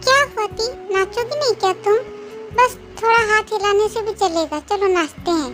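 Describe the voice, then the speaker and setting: A put-on character voice plays out over clear music in the background. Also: moderate pace. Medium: read story. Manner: warm, affectionate.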